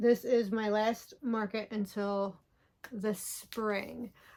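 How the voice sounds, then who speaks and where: A woman at a very slow pace with fairly even intonation, on a very clean recording with a silent background. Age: 40s. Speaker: crochet vlogger. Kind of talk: casual chat. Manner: hesitant, many fillers.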